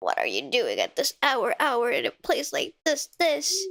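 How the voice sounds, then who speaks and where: Her voice is a put-on character voice. This woman pitches it high. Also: moderate pace. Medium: virtual streamer. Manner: repeats last words like an echo.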